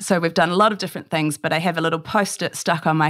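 Here is a woman with a New Zealand accent and a fairly low pitch. Her intonation is fairly even, in a very clean recording with a silent background. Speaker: food business founder. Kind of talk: interview.

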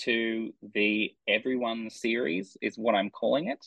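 A man in an Australian accent, medium pitch, fairly slow pace. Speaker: crime novelist. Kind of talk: author interview.

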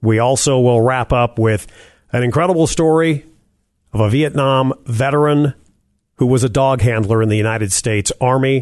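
A man speaks in an ordinary speaking voice at medium pitch and a moderate pace, with ordinary pitch variation and very even loudness. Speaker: radio host. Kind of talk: interview.

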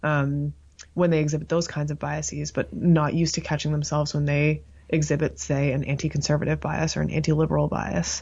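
A woman's very deep, low voice, somewhat breathy, with a Canadian accent and monotone, flat intonation. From Canada, Toronto (Scarborough). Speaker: psychology professor. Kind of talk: interview.

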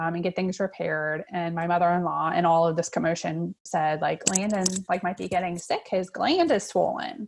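Against a quiet background, a woman talks at a moderate pace in a plain, everyday voice. Her pitch is fairly low and her intonation fairly even. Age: 40s. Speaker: social worker and mother of a child with cancer. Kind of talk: interview.

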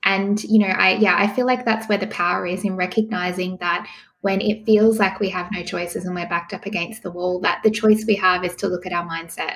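A woman's medium-pitched voice in an Australian accent, flat and monotone, at a fairly quick pace with hardly any pauses. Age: 30s. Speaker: pregnancy coach. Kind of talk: interview. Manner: calm, soothing.

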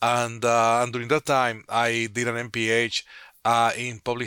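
In a very clean recording with a silent background and a dry, close sound with no echo, a man with a Spanish accent talks at a medium pitch with a bright, sharp tone. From Dominican Republic. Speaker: public health physician. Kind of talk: interview. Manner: halting, many fillers.

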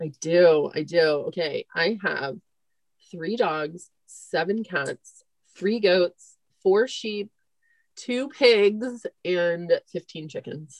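A woman with an American accent speaks very slowly, with lively intonation and long, frequent pauses, in a dry, close sound with no echo. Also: medium pitch for a woman. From Northern California, Marin County. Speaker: veterinarian, practice owner. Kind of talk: casual interview chat.

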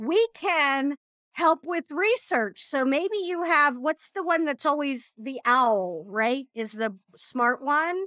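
A woman speaks in a raised, projected voice at a very slow pace, high-pitched with a bright, sharp tone. Her pitch swings very widely, and the sound is dry and close with no echo. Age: 50s. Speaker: marketing business owner. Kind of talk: casual chat.

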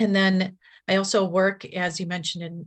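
A somewhat breathy woman at a moderate pace over a quiet background. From Milwaukee, Wisconsin, US Upper Midwest. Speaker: nurse in addiction recovery. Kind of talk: interview testimony.

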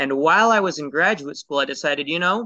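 The voice has a bright, sharp tone with a West Coast US accent. Its pitch varies in an ordinary way. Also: man. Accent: General American, West Coast. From US Pacific Northwest, Portland, Oregon. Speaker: entrepreneur. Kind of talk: interview.

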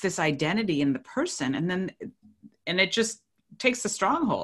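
Against a quiet background, a woman's bright, sharp tone moves through very wide pitch swings. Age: 50s. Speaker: retired nurse and podcaster. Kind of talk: interview testimony.

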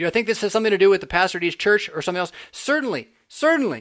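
Very fast and animated, a man with an American accent talks at a high pitch with lively intonation. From California. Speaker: pastor and podcast host. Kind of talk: casual chat.

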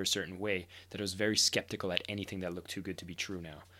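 In a very clean recording with a silent background, a man talks at a very fast pace with a bright, sharp tone, a fairly low pitch and fairly even intonation. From Ontario, Canada (village east of Ottawa). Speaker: personal development company executive. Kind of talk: casual interview.

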